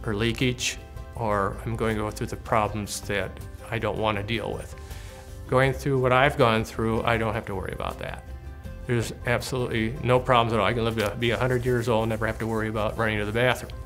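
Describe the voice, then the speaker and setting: Man speaking at a fairly quick pace with ordinary pitch variation, music in the background. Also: medium pitch for a man. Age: 70s. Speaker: bladder cancer survivor. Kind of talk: interview answer.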